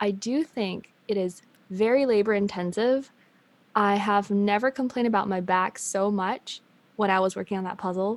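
A woman with a medium pitch keeps her intonation fairly even at a moderate speed. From China, then raised in US and Canada. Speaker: management consultant. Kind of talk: casual chat. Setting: remote call. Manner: laughs often.

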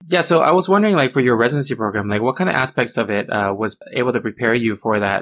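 Talking at a very fast pace, the man keeps a medium pitch with ordinary pitch variation. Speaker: podcast host. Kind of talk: casual interview.

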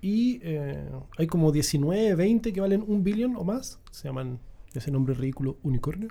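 At a fairly slow pace, a man talks with a high pitch, very wide pitch swings, and a dark, mellow tone. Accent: Chilean. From southern Chile, Puerto Montt. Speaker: startup founder. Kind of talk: casual chat.

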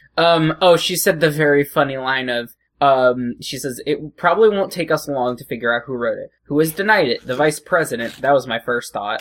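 This man has an ordinary speaking voice, fairly high in pitch, and talks at a moderate pace on a very clean recording with a silent background. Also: ordinary pitch variation, big swings in loudness. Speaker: podcast host. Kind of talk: casual comedy chat.

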